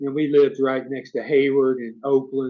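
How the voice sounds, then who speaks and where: Medium in pitch, this man's voice is heard. He keeps a moderate pace. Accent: strong Southern US. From US South, rural north Florida. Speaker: YouTuber, expat vlogger. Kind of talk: live stream Q&A. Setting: live stream. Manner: casual, conversational.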